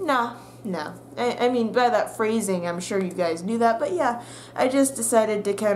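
A woman with a fairly high pitch speaks with lively intonation over light background noise. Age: young. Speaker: YouTuber and college student; YouTuber. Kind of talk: casual vlog monologue. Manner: animated. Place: home room. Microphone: webcam.

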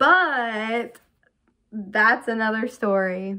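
A woman's bright, sharp tone with ordinary pitch variation against a quiet background. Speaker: vlogger. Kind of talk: casual vlog chat. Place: home room.

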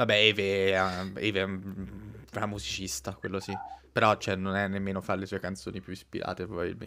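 With a bright, sharp tone and vocal fry, a man speaks at a moderate pace in a very deep, low pitch, his intonation fairly even. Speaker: anime youtuber host. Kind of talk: casual live chat, joking banter. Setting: online livestream. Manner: jokey, rowdy, vulgar.

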